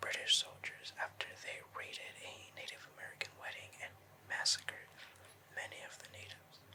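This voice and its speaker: A man whispers at a moderate pace over noticeable background noise. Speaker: ASMR creator. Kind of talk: ASMR urban legend storytelling. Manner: whispered; calm.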